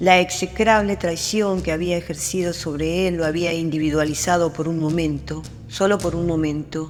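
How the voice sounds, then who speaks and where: Someone speaks fairly slowly in an Argentine accent. Music plays in the background. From Argentina. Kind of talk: short story narration.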